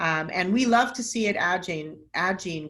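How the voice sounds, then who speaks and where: A woman's fairly low voice in an American accent, with audible room echo. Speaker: nonprofit executive director and scientist. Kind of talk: webinar lecture. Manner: fast.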